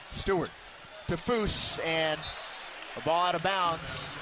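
There is noticeable background noise behind a man's voice. His pitch is high, with ordinary pitch variation. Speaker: play-by-play announcer. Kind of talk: live sports commentary, play-by-play. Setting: arena broadcast, radio.

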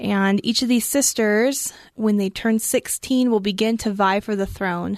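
A woman's normal speaking voice, fairly high and fairly slow, with fairly even intonation and very even loudness, against a quiet background. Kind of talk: book discussion chat. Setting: studio.

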